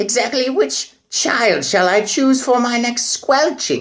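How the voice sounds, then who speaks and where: A put-on character voice pitched fairly high. It moves at a fairly slow pace. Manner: sinister, relishing.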